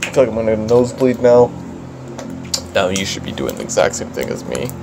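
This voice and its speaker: There is noticeable background noise behind the speaker. A man talks at a fairly quick pace with medium pitch and ordinary pitch variation. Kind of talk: parody ASMR. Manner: whispered.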